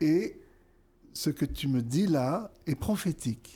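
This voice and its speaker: In a very clean recording with a silent background, a man speaks in a dark, mellow, somewhat breathy tone with ordinary pitch variation. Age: 60s. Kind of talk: interview. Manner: hesitant, many fillers.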